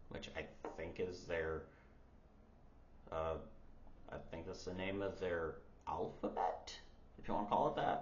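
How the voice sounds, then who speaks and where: The voice is somewhat breathy and fairly slow, with long, frequent pauses. Audible room echo fills the recording. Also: man, very deep, low pitch for a man, ordinary pitch variation. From United States. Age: 30s. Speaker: language learner vlogger. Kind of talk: casual vlog.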